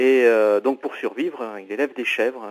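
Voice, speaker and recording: A man's medium-pitched voice at a moderate pace, fairly even in intonation, with a dry, close sound and no echo. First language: not French (speaking French). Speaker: author. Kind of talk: interview. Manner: halting, many hesitations.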